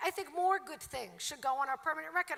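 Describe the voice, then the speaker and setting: In a Brooklyn accent, a woman with a bright, sharp tone uses a raised, projected voice at an extremely high pitch, speaking at a moderate pace with ordinary pitch variation. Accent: Brooklyn, New York. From Brooklyn, New York. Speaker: commencement speaker, professor. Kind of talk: commencement speech. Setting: stage with audience.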